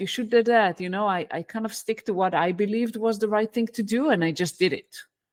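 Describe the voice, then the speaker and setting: On a very clean recording with a silent background, a woman with an Israeli accent talks at a fairly quick pace in a fairly high pitch with ordinary pitch variation. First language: Hebrew. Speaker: leadership coach, former engineering director. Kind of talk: podcast interview. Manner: halting.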